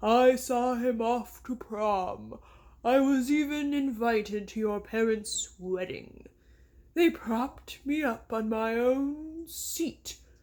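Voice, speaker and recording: A put-on character voice speaks at a very slow pace in a dramatic tone. It is croaky and fairly high in pitch. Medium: read story. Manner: dramatic, boastful.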